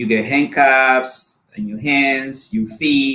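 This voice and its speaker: A man speaks at a medium pitch with a Spanish accent. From Honduras. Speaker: immigrant sharing life story. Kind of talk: personal testimony. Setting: live video show.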